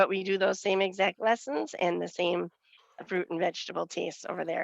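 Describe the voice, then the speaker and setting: A woman's medium-pitched voice with a Western Wisconsin accent, at a moderate pace, in a dry, close sound with no echo. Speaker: nutrition educator. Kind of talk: committee meeting report.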